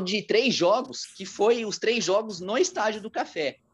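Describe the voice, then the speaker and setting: A man is speaking. His pace is fairly slow. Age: 30s. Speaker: radio sports journalist. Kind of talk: casual interview about football history. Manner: halting, many fillers.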